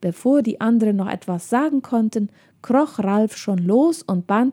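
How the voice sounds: A natural reading voice carries the clip. Words are read out in it.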